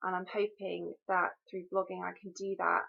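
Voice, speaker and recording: A woman speaks with a British accent at a medium pitch. Her pace is fairly quick. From UK. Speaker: mental health blogger. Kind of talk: personal video introduction. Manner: hesitant, frequent um.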